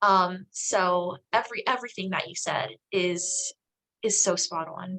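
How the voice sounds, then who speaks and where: A woman speaks with an American accent and a bright, sharp tone. Her pace is fairly slow, and her pitch variation is ordinary. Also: medium pitch for a woman. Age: 20s. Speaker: aspiring social epidemiologist and health educator. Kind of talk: casual interview chat.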